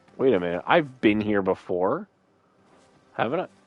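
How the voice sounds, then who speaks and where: A man talks in an animated tone at a moderate pace, with music playing in the background. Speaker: gaming streamer. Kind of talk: live gameplay commentary.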